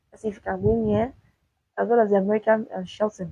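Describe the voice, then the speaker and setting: A woman's somewhat breathy voice, dark and mellow in tone, at a moderate pace. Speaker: sports commentator. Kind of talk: solo sports talk video. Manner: halting.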